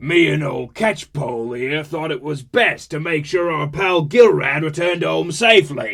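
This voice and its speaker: Using a put-on character voice, a man speaks at a fairly high pitch. He keeps a moderate pace with hardly any pauses. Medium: read story. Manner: playful, swaggering.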